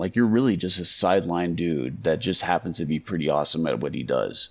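This man talks at a very fast pace with an American accent. His intonation is lively. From Las Vegas, US. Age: 30s. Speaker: podcast co-host. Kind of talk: casual chat.

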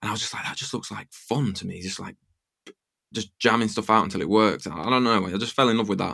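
A man with an English accent talks at a very fast pace in a fairly low pitch, with ordinary pitch variation and a bright, sharp tone. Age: 30s. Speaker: music producer. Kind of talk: interview.

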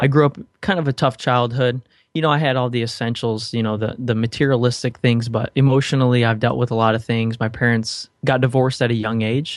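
At a fairly quick pace, a man with an ordinary speaking voice talks in a medium pitch with fairly even intonation against a quiet background. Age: 20s. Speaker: podcaster. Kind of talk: interview.

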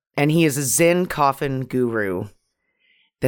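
A woman's animated, fairly slow delivery in a very clean recording over a silent background. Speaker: podcast co-host. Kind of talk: casual comedic chat about a movie. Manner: profane, animated.

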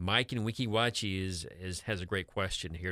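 On a very clean recording with a silent background, a man uses a plain, everyday voice at a moderate pace with ordinary pitch variation. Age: 50s. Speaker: accountant and financial advisor. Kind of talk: radio talk show discussion. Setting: radio studio.

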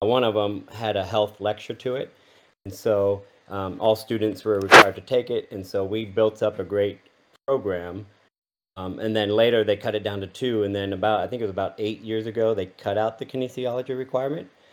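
Talking at a fairly quick pace, a man with an American accent has a plain, everyday voice, a fairly low pitch and fairly even intonation. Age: 40s. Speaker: university professor. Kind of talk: interview.

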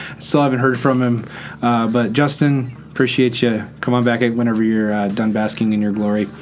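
Noticeable background noise and audible room echo surround a man talking at a moderate pace, with fairly even intonation and very even loudness. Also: medium pitch for a man. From Netherlands. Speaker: podcast host. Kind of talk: casual interview; sponsor read. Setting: studio.

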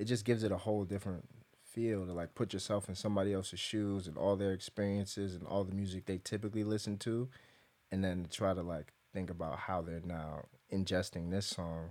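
On a very clean recording with a silent background, a man with an American accent talks at a fairly quick pace with a very deep, low pitch and fairly even intonation. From New York, the Bronx. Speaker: singer-songwriter. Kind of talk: casual chat.

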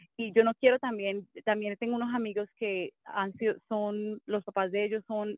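Here is an unremarkable speaking voice, a woman's with a fairly high pitch. She keeps a moderate pace and fairly even intonation. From Colombia. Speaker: mommy blogger and former TV presenter. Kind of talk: casual interview chat.

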